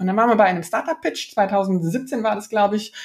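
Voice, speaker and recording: A woman talks at a moderate pace in a fairly high pitch. Her voice is somewhat breathy. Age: 40s. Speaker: startup founder and CEO. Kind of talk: interview. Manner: many fillers and hesitations.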